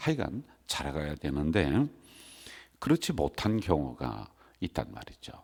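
A man's very deep, low voice with vocal fry and very wide pitch swings, at a fairly slow pace with long, frequent pauses. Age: old. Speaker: senior pastor. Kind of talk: sermon. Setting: church.

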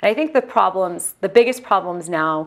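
Speaking at a fairly quick pace, a woman talks in a Midwestern American accent. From Ohio. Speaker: healthcare entrepreneur; guest. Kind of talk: lecture; Q&A interview. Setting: stage with audience. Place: hall. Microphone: lapel.

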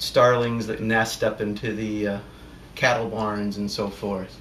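A man speaking at a fairly slow pace, with audible room echo and light background noise. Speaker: airgun hunter and hobbyist. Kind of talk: casual talk to camera. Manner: hesitant, sometimes stuttering. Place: home room. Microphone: camera far.

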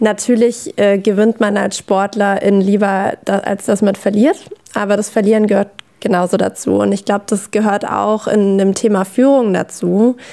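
Her loudness very even, a woman speaks at a moderate pace in a monotone, flat intonation. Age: 20s. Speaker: former athlete, learning design consultant; podcast guest. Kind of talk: casual chat. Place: studio.

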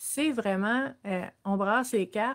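Against a quiet background, a woman speaks with a Quebec accent. Her voice sits fairly high, with ordinary pitch variation. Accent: Québécois French. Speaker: social worker and wellness livestream host; personal growth coach. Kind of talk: live-streamed self-development talk. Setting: live stream with viewer comments. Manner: hesitant, many fillers. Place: home room. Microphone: webcam.

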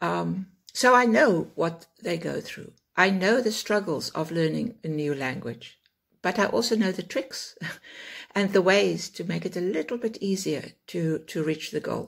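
Against a quiet background, a woman with vocal fry speaks at a fairly slow pace and a fairly low pitch. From South Africa. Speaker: online English teacher. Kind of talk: self-introduction talk to camera. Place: home room. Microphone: phone near.

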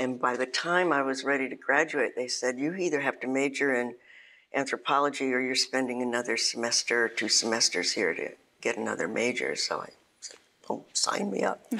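Her pitch very deep and low, a woman talks at a fairly quick pace with ordinary pitch variation. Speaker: interviewee. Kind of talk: interview answer. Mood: relaxed, reflective. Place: studio. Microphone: lapel.

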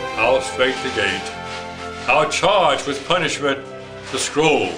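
A man speaks at a very slow pace, with clear music playing in the background. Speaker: grandfather. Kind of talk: poetry reading. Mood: solemn, measured. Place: home room. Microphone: camera far.

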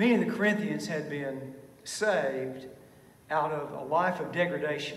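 Audible echo fills the room around the speaker. The pace is fairly slow, with ordinary pitch variation. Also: man. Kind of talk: sermon. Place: church. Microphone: podium.

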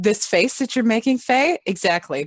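Over a quiet background, a woman talks at a moderate pace with lively intonation, the sound dry and free of echo. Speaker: tabletop role-play player. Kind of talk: casual game chat. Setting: video call. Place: home room. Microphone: headset.

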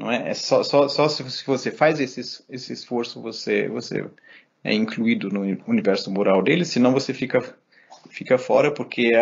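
A man's voice at a medium pitch, with ordinary pitch variation and a moderate pace. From Germany and Brazil. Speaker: philosophy professor. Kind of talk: interview conversation. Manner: halting, frequent repetitions.

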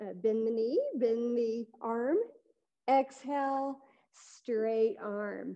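Over a quiet background, a woman with a fairly high pitch and a warm yet dark, mellow tone speaks very slowly with long, frequent pauses, ordinary pitch variation, and big swings in loudness. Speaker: yoga instructor. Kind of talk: live-streamed guided yoga class instruction. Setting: online live stream, video class. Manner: calm, gentle, soothing, unhurried cueing; warm, friendly, encouraging. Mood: calm, gentle guiding. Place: gym.

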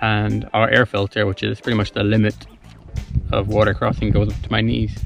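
With faint music in the background and a dry, echo-free sound, a man talks at a moderate pace in a fairly low, monotone, flat voice. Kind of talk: casual vlog chat. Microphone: phone near.

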